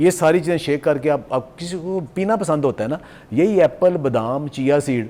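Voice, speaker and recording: With lively intonation, a man talks in a dark, mellow tone at a fairly high pitch. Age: 60s. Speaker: nutrition expert. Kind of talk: TV morning show interview.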